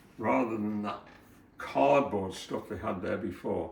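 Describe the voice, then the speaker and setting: Audible room echo surrounds a man who speaks at a fairly low pitch and a fairly slow pace. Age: 80s+. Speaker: retired handyman. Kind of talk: casual chat. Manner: halting.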